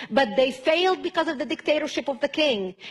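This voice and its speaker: This woman's high voice moves with lively intonation, with noticeable background noise behind it. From Lebanon. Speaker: activist speaker. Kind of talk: speech.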